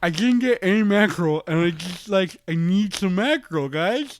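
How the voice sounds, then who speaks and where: A man's put-on character voice at a high pitch. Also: moderate pace. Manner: whiny, pleading, silly.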